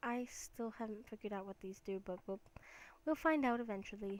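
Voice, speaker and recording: A woman mumbles at a moderate pace and a medium pitch. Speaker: gaming YouTuber. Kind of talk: let's play commentary. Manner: mumbling; hesitant, many fillers.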